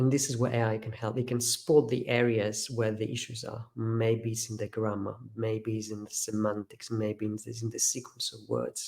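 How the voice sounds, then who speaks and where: Somewhat breathy, a man with a slight Greek accent and a medium pitch speaks at a moderate pace in a monotone, flat intonation with hardly any pauses. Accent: near-native English, slight Greek. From Greece. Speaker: professor. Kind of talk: webinar interview answer.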